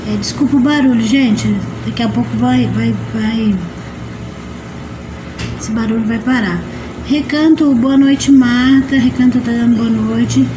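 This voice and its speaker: A woman speaks at a fairly slow pace, with long, frequent pauses. Noticeable background noise runs underneath. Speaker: livestream host. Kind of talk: casual livestream chat. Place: home room.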